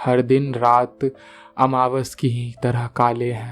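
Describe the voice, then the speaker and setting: Over music in the background, a man talks at a medium pitch in a monotone, flat intonation. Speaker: storyteller. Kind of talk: story narration.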